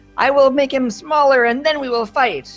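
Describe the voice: A female-sounding, squeaky put-on character voice is pitched high and moves at a moderate pace. Faint music plays in the background.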